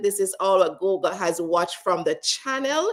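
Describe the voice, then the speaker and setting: A woman talks in a Jamaican accent with ordinary pitch variation. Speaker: leadership speaker. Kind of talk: interview. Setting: live stream.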